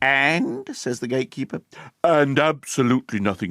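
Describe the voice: Pitch shifts in an ordinary way during plain reading aloud. Behind it, the background stays quiet.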